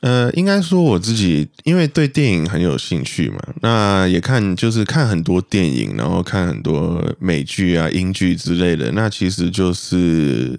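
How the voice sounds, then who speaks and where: A man with a very deep, low pitch speaks at a fairly slow pace, with hardly any pauses and very even loudness. His pitch swings very widely, and noticeable background noise runs underneath. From Malaysia. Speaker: podcast guest. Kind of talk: casual chat.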